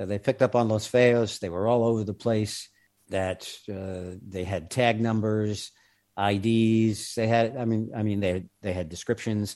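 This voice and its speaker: A man with an American accent speaks in a fairly low pitch and a dark, mellow tone. His fairly slow delivery keeps a fairly even intonation in a very clean recording with a silent background. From New York. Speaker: former undercover federal agent. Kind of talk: interview storytelling.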